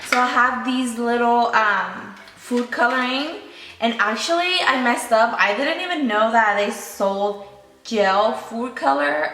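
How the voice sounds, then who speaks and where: Over noticeable background noise, a woman speaks at a fairly slow pace. Her pitch is fairly high and her intonation lively. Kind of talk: casual talk to camera.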